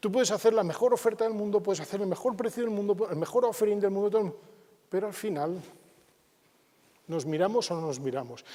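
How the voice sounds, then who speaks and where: A man with a high pitch and a dark, mellow tone talks at a very fast pace, broken by long, frequent pauses, with ordinary pitch variation. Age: 50s. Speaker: business speaker. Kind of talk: conference talk.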